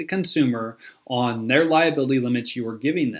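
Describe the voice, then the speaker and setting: A man speaks with an American accent, his tone energetic and his intonation lively. The recording is very clean, with a silent background. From US Midwest, Missouri. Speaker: insurance sales coach. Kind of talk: sales training talk to camera. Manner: casual, energetic.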